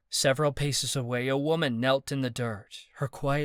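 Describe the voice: This is plain reading aloud delivered with fairly even intonation.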